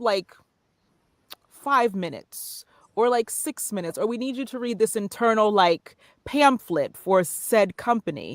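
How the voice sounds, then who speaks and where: Dry and close with no echo, the recording has a woman with an American accent speaking at a fairly slow pace in a fairly high voice, with ordinary pitch variation and big swings in loudness. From northern New Jersey. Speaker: voiceover artist and narrator. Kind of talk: interview.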